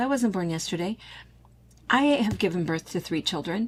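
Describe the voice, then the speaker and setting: She speaks with an American accent. Her intonation is lively. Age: 60s. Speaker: quilt shop owner and video host. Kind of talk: casual chat. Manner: animated.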